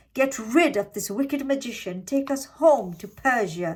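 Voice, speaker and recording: A woman's put-on character voice, high in pitch, with lively intonation, big swings in loudness and a moderate pace. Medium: read story.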